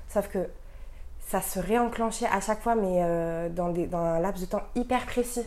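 A woman speaks at a fairly slow pace in a medium pitch, with a dark, mellow tone and ordinary pitch variation. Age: 20s. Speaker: guest sharing esoteric experiences. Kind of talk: casual chat.

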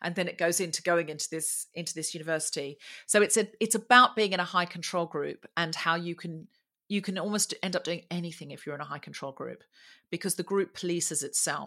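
Talking at a fairly quick pace, a woman with an Australian accent has a fairly low pitch, a bright, sharp tone and big swings in loudness. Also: ordinary pitch variation. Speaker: comedian and podcast host. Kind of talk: interview.

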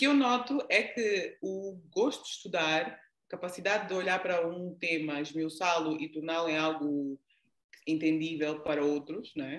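Her pitch is fairly low for a woman, with ordinary pitch variation. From Angola, raised largely in the Netherlands. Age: 40s. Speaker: leadership coach. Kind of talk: interview. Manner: halting.

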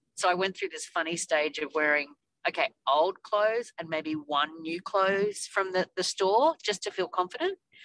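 A woman's medium-pitched voice in an Australian accent, at a moderate pace with ordinary pitch variation, in a dry, close sound with no echo. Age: 50s. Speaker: weight loss surgery patient. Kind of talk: casual chat.

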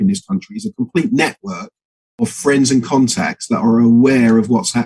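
A man with an English accent speaks at a moderate pace in a medium pitch, his intonation lively and the sound dry and close with no echo. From England. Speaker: political activist. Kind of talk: casual chat.

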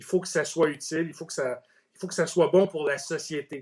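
At a moderate pace, a man with a Quebec accent speaks in a fairly high voice with fairly even intonation. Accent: Québécois French. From Quebec, Outaouais. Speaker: ETF industry executive. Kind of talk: interview. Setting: Facebook Live video stream.

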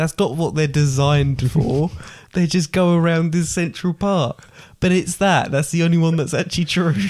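Speaking at a moderate pace with an English accent, a man uses a high pitch, fairly even intonation and very even loudness. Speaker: podcast host. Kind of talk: casual chat.

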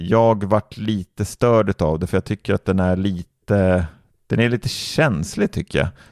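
In a dry, close sound with no echo and a very clean recording against a silent background, a man with an ordinary speaking voice speaks at a fairly slow pace in a fairly low pitch with ordinary pitch variation. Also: very even loudness. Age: 20s. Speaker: tech podcast co-host. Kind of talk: casual chat.

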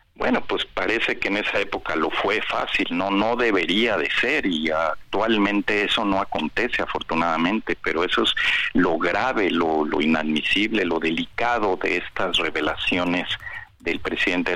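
A man's very deep, low voice at a moderate pace, with ordinary pitch variation, very even loudness and noticeable background noise. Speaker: bar association lawyer. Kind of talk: phone interview.

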